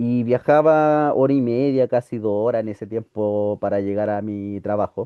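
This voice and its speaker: A plain, everyday voice from a man, medium in pitch, with ordinary pitch variation, a moderate pace and hardly any pauses. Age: 40s. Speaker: teacher. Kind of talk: lecture.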